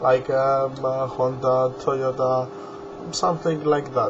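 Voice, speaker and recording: Noticeable background noise runs behind the recording. A man speaks at a very slow pace. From Greece. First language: Greek. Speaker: hobbyist video maker. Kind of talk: tutorial. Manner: halting.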